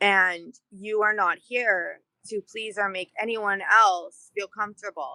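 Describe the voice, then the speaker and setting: Loud and at a very slow pace, a woman speaks at a medium pitch with a bright, sharp tone and fairly even intonation, in a dry, close sound with no echo. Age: adult. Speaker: community group president. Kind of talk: casual interview.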